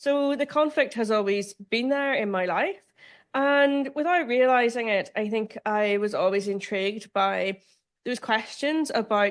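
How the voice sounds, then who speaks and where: Delivered at a moderate pace with ordinary pitch variation, the speech comes in a Northern Irish accent. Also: woman. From Northern Ireland. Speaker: law professor. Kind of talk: lecture.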